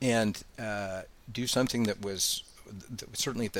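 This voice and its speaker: A man with an American accent speaks at a fairly low pitch. His pace is fairly quick and his intonation fairly even. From Colorado. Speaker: environmental lawyer. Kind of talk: interview. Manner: articulate.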